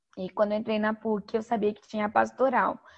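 Her voice is fairly high for a woman and somewhat breathy. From Brazil, western Paraná (Toledo). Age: 30s. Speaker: psychologist and humanitarian worker. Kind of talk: interview. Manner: talkative.

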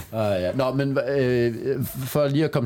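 Pitched in the medium range, a man talks in a plain, everyday voice with fairly even intonation. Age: 40s. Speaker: stand-up comedian. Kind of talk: casual chat.

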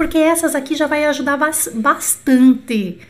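Animated in tone, a woman speaks with ordinary pitch variation. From Brazil. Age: 40s. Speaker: French teacher. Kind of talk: online lesson. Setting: YouTube livestream.

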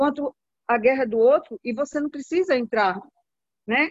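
Against a quiet background, a woman with a plain, everyday voice speaks at a moderate pace with ordinary pitch variation, the sound dry and close with no echo. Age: 50s. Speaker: caregiver and network marketing distributor. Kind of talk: group video call testimony.

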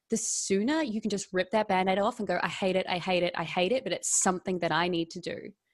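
Over a quiet background, a woman with an Australian accent talks at a fairly quick pace, at medium pitch with ordinary pitch variation. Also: hardly any pauses. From Melbourne, Australia. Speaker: actress and financial coach. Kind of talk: casual interview chat. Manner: animated.

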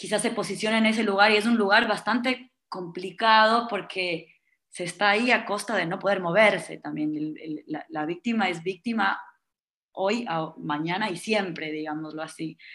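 A woman's bright, sharp tone at a medium pitch, with ordinary pitch variation, a moderate pace and a very clean recording over a silent background. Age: 20s. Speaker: psychotherapist. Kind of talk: casual chat. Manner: halting, many repetitions.

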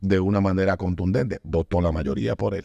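This man has a fairly low pitch and a dark, mellow tone. The sound is dry and close, with no echo. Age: 40s. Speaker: podcast host. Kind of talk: casual chat.

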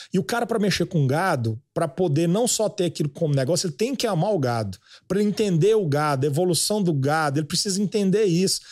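In a very clean recording with a silent background, a man with a high pitch speaks at a very fast pace with hardly any pauses, very even loudness and lively intonation. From Goiás (Goiânia). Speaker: agribusiness influencer. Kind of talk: casual chat.

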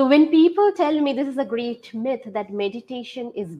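A woman's lively intonation in an Indian accent. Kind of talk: interview.

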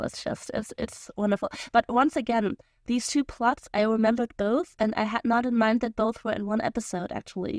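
At a moderate pace, a woman talks in a German accent, and the sound is dry and close with no echo. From Germany. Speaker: podcast co-host. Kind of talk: casual discussion podcast.

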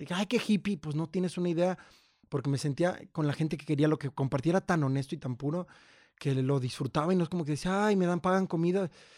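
A man at a very fast pace, dry and close with no echo, on a very clean recording with a silent background. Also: fairly high pitch for a man, ordinary pitch variation. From Mexico, Jalisco highlands. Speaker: actor and writer. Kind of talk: casual chat.

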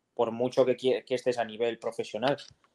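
A man of medium pitch speaks at a moderate pace with a dark, mellow tone. The sound is dry and close, with no echo. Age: 20s. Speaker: professional footballer. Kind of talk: casual chat.

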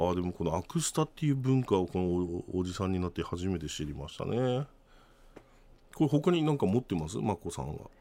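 A man talks at a fairly quick pace in a very deep, low pitch. His dark, mellow tone moves through very wide pitch swings. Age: 50s. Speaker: radio co-host. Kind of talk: casual chat. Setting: studio.

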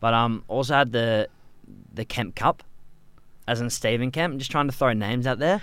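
A man with a medium-pitched voice speaks at a moderate pace with ordinary pitch variation and long, frequent pauses. The recording is very clean, with a silent background. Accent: Australian. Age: 20s. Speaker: cricket club podcast co-host. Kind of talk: casual chat.

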